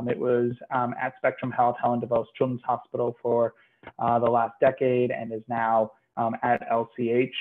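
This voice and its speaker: Against light background noise, a man talks at a fairly slow pace in a monotone, flat intonation. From Puerto Rico. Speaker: physician researcher. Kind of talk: medical lecture. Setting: video call. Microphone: webcam.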